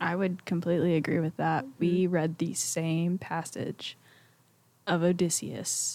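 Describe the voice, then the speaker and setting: A woman with an American accent speaks in a fairly low voice with a dark, mellow tone. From Mississippi, Pontotoc. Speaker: college student. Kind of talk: casual chat.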